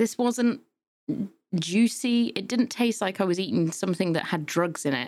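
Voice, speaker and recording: A woman with a British accent at a medium pitch, lively intonation and a moderate pace. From UK. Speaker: podcast host. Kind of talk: casual chat.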